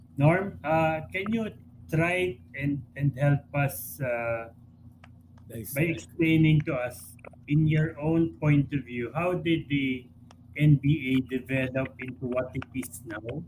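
At a very slow pace, a man speaks in a fairly high voice. He sounds somewhat breathy, with ordinary pitch variation. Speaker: sports columnist. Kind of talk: casual chat.

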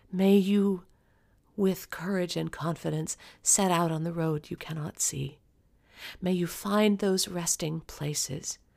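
A woman with an unremarkable speaking voice talks at a fairly slow pace with fairly even intonation and a fairly low pitch. The recording is very clean, with a silent background. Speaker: podcast host and intuitive. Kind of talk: solo podcast address, then a read-aloud blessing poem. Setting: recording alone in her office. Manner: slow, gentle, hushed and soothing, with long pauses; warm, sincere, personal.

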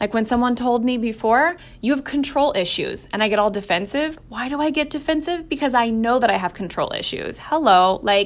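In an animated tone, a woman with a high pitch speaks at a moderate pace with lively intonation. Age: 30s. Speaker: podcast host. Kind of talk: personal monologue.

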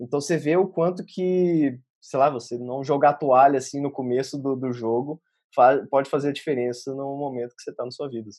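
Speaking in a plain, everyday voice at a fairly quick pace, a man has a fairly high pitch, fairly even intonation and big swings in loudness. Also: quiet background. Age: 20s. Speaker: software developer. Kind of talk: casual interview.

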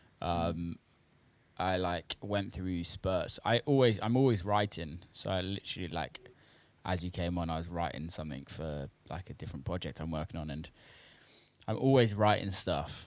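A man with a British accent and a very deep, low pitch speaks at a moderate pace with ordinary pitch variation on a very clean recording with a silent background. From UK. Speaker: house and techno producer and DJ. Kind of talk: casual interview chat. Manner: hesitant, many fillers.

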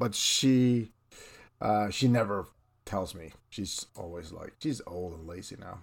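On a very clean recording with a silent background, a man speaks with a Swedish accent. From northern Sweden. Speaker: illustrator, podcast co-host. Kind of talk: casual chat.

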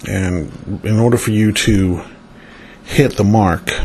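Noticeable background noise sits under a voice with an American accent and fairly even intonation. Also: man. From northern US. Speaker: spiritual consultant, angel card reader. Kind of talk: solo monologue, card reading. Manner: meandering, many fillers.

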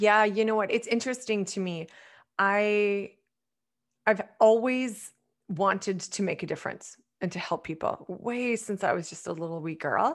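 This woman has an unremarkable speaking voice, medium in pitch, with a Canadian accent and ordinary pitch variation. She talks at a moderate pace on a very clean recording with a silent background. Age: 40s. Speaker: wellness coach. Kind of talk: interview conversation.

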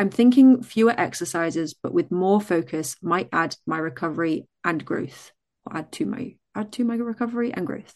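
Against a quiet background, a woman talks at a moderate pace with very wide swings in pitch. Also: medium pitch for a woman, hardly any pauses. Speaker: online fitness coach. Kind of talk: casual chat. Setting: live online video. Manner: cheerful.

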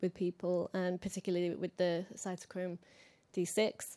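This woman has a dark, mellow tone and speaks at a moderate pace. The recording is very clean, with a silent background. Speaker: neuroscientist. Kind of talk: Q&A question.

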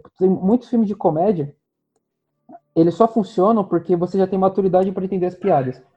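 A man's high-pitched voice at a very fast pace, with ordinary pitch variation and music in the background. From Rio de Janeiro state, Brazil. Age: 20s. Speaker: podcast co-host. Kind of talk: casual chat.

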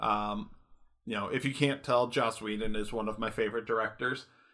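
On a very clean recording with a silent background, a man with an American accent speaks at a medium pitch in a bright, sharp tone. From Michigan. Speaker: podcast co-host, IT help desk technician. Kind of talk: casual chat.

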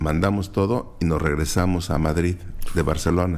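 A man's lively intonation comes through at a fairly slow pace. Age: 60s. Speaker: veteran journalist. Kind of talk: interview.

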